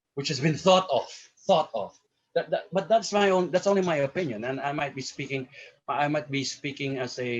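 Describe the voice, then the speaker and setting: Music plays in the background as a man speaks at a moderate pace with ordinary pitch variation. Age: 60s. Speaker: professor. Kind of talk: panel discussion. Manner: halting, many repetitions.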